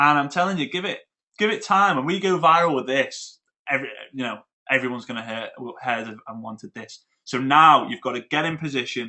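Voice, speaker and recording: With a British accent, a man speaks at a fairly quick pace and a fairly high pitch in an animated tone, with ordinary pitch variation, big swings in loudness and long, frequent pauses. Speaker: network marketing trainer. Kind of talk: webinar presentation. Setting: online webinar. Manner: fast.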